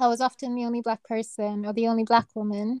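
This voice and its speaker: Soft-spoken, a woman talks at a moderate pace in a fairly high pitch. Her tone is dark and mellow. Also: dry, close sound with no echo. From Kenya. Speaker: neurosurgeon. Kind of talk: interview.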